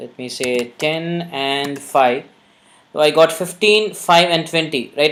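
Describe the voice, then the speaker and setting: A woman with a Tamil accent and ordinary pitch variation. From India, Tamil Nadu. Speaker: programming instructor. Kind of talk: live coding tutorial webinar. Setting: live online session. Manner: conversational, many fillers.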